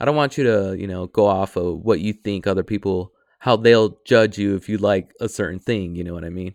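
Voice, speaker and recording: The speaker talks at a fairly quick pace with an American accent and ordinary pitch variation. Loudness swings widely, and the sound is dry and close with no echo. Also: man, fairly low pitch for a man. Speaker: podcast host. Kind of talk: casual monologue. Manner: hesitant, many fillers.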